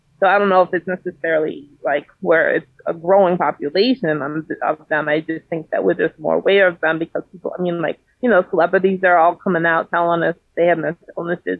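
A woman with an American accent speaks at a fairly low pitch, with fairly even intonation and hardly any pauses. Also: fairly quick pace. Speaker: mental health advocate. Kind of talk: interview. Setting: remote call.

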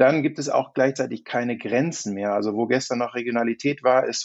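A man with a medium pitch and ordinary pitch variation speaks in a plain, everyday voice. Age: 40s. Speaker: insurance digital expert, podcast co-host. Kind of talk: casual chat.

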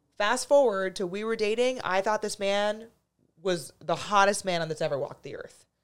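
With a normal speaking voice at a medium pitch, a woman talks at a fairly slow pace with ordinary pitch variation on a very clean recording with a silent background. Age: 30s. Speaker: dating coach and podcast host. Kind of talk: casual chat. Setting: studio.

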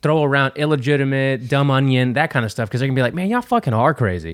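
A man at a very fast pace, very clean recording, silent background. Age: 30s. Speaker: podcast co-host. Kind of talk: casual chat.

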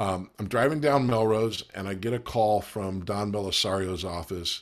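At a moderate pace and medium pitch, a man with an American accent talks in a normal speaking voice on a very clean recording with a silent background. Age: 50s. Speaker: actor. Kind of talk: casual chat.

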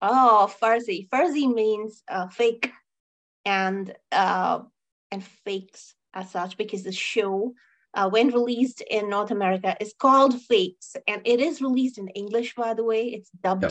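Here is a woman with an unremarkable speaking voice, fairly high in pitch and showing ordinary pitch variation. She talks at a fairly slow pace against a quiet background. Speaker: podcast co-host. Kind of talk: casual chat, movie review podcast. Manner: casual, rambling, repeats words.

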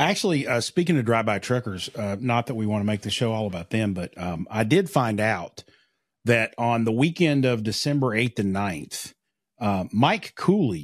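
Over a quiet background, a man with an American accent speaks at a moderate pace and medium pitch, his intonation lively and the sound dry and close with no echo. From eastern Kentucky. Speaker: podcast co-host. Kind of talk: casual chat.

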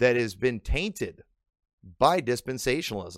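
A man with an Illinois accent talks at a medium pitch. The sound is dry and close with no echo, on a very clean recording with a silent background. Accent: northern US (Illinois). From Illinois, US. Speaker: pastor. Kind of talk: sermon-style teaching.

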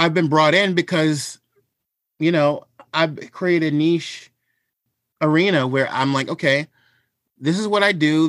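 A man speaks at a moderate pace in an unremarkable speaking voice, fairly high-pitched with ordinary pitch variation, on a very clean recording with a silent background. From Washington DC area and Maryland, US. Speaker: culinary historian and cookbook author. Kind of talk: interview conversation.

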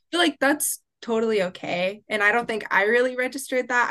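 Bright and sharp in tone, a woman speaks with an American accent and ordinary pitch variation. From Oklahoma. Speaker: media arts student. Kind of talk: casual chat.

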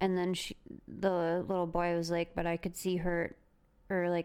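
The recording is very clean, with a silent background. A woman talks at a moderate pace. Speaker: podcast co-host. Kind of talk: storytelling; casual chat.

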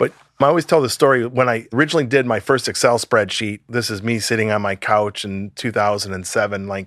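A man with an American accent and a plain, everyday voice talks at a fairly quick pace and fairly low pitch, the sound dry and close with no echo over a quiet background. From US Midwest, Chicago suburbs. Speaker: nonprofit founder. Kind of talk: interview. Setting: video call.

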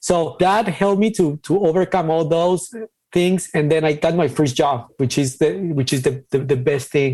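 With a Mexican accent, a man talks in a dark, mellow tone and lively intonation. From Ciudad Juarez, Mexico. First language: Spanish. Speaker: designer and crypto artist. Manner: halting, hesitant with fillers.

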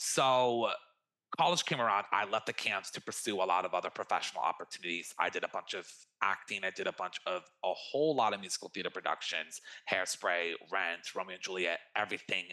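This man talks at a fairly quick pace with a fairly low pitch and ordinary pitch variation. His tone is bright and sharp. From US, California (Bay Area). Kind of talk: casual interview. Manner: animated.

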